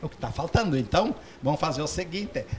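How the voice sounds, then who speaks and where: A man talks at a fairly quick pace with lively intonation. Noticeable background noise is present. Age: 60s. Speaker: doctor. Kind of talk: interview. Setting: studio.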